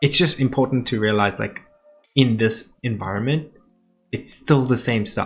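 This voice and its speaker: A man speaks with a strong South African accent. Music plays in the background. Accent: thick South African. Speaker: business owner and online show host. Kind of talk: casual vlog talk to camera. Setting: sitting on the floor, filming himself. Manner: loose and conversational, many fillers.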